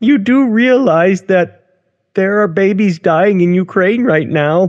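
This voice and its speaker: At a fairly slow pace, this clip features a put-on character voice. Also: man, high pitch for a man. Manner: mocking.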